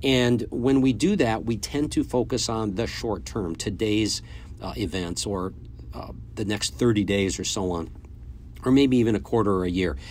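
Speaking with lively intonation, a man with a plain, everyday voice has a fairly low pitch. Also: moderate pace. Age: 50s. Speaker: podcast host and business coach for sales agents. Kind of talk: solo motivational business talk. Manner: casual, with frequent filler words.

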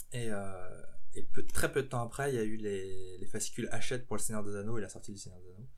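A man talks at a very fast pace in a fairly low voice, with ordinary pitch variation and big swings in loudness. Noticeable background noise sits behind him. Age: 20s. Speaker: professional miniature painter. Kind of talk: interview. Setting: his home workshop.

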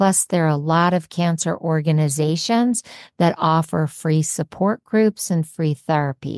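A woman with a normal speaking voice talks at a fairly slow pace, fairly low in pitch with ordinary pitch variation. Her loudness is very even, and the sound is dry and close with no echo. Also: quiet background. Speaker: podcast host. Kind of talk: podcast intro and interview.

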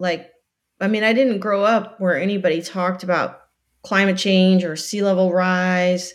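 A woman with an ordinary speaking voice, medium in pitch, at a fairly slow pace. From US South, Florida Keys. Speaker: nonprofit director, marine biologist. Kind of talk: interview.

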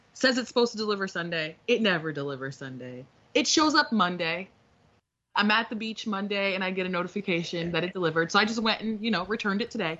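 A woman at a medium pitch, very fast pace and lively intonation. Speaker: podcast co-host. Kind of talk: casual chat.

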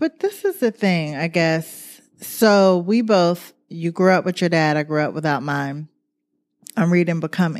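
A woman in an ordinary speaking voice, fairly low in pitch with ordinary pitch variation and a fairly slow pace, in a very clean recording with a silent background. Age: 40s. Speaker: podcast co-host. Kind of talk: casual chat.

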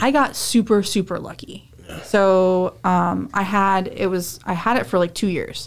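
An unremarkable speaking voice, a woman's at medium pitch, moves at a fairly slow pace with ordinary pitch variation on a very clean recording with a silent background. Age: 30s. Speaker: amateur fighter. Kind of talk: casual chat. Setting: studio.

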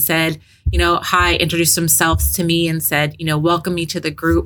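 A woman with a bright, sharp tone and a fairly low pitch speaks at a fairly quick pace. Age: 50s. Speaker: HR director, cancer survivor. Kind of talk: interview.

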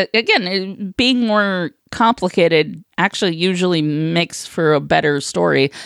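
A woman's medium-pitched voice, fairly slow pace, lively intonation and vocal fry. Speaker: co-host. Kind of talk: casual chat.

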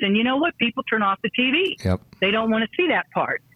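In an ordinary speaking voice with an American accent, a woman talks at a moderate pace with lively intonation. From US South. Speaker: martial arts master and inspirational speaker. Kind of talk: interview.

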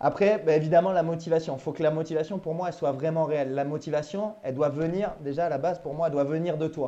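Against a quiet background, a man talks at a fairly quick pace in a fairly high pitch, his tone dark and mellow, with ordinary pitch variation. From Normandy, France. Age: 30s. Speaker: maritime gendarme and amateur runner. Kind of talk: interview. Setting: Skype call.

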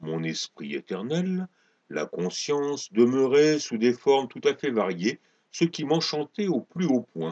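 Dark and mellow in tone, the voice is dramatic, with very wide pitch swings. It moves at a very slow pace against a quiet background. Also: man, medium pitch for a man. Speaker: storyteller reading his own sci-fi tale. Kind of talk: dramatic narration of a fable. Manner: dramatic, storytelling tone with flourishes.

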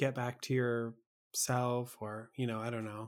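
Speaking at a fairly slow pace, a man has a plain, everyday voice. His pitch is medium. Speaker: podcast host. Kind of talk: casual interview.

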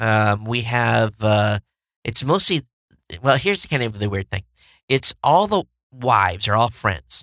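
A man with vocal fry speaks at a fairly slow pace, with ordinary pitch variation and long, frequent pauses. The recording is very clean, dry and close, with a silent background and no echo. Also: medium pitch for a man. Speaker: tech podcast host. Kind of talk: casual solo tech news show. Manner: casual with many filler words.

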